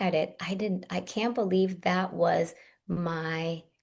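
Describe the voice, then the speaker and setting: A woman at a medium pitch with ordinary pitch variation, speaking at a very slow pace over background music. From Russia. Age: 40s. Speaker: Ayurvedic practitioner and herbalist. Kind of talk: podcast interview.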